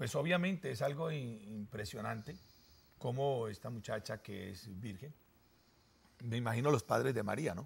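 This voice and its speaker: His delivery moves at a moderate pace, somewhat breathy, with lively intonation. This man leaves long, frequent pauses and his loudness swings widely. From Colombia, Armenia (Quindío); Colombia. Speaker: pastor; pastor guest on religious talk show. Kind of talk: sermon-style talk show discussion. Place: studio. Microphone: lapel.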